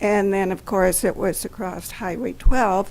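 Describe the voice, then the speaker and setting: A woman talks at a medium pitch with ordinary pitch variation. Her voice has vocal fry, and her pace is fairly slow. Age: 70s. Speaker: longtime resident addressing city council. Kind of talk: personal reminiscence at a public meeting. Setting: city council meeting.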